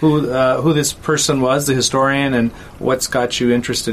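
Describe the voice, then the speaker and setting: Fairly even intonation from a man at medium pitch, noticeable background noise behind him. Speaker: podcast host. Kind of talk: interview.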